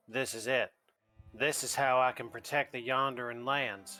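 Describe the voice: A man puts on a character voice with a Southern accent, at medium pitch and moderate pace. His intonation is monotone and flat, with music in the background.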